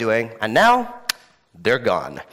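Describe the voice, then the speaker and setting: An animated speaker with an American accent swings the pitch very widely. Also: man. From mixed: Middle East, Africa, France, India. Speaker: entrepreneur and conference speaker. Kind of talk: keynote talk. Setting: stage with audience.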